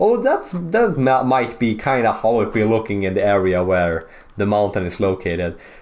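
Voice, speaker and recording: Lively intonation in a Swedish accent, at a moderate pace with hardly any pauses. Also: man. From Sweden. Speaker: geography YouTuber. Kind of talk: casual commentary over maps. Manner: casual, animated.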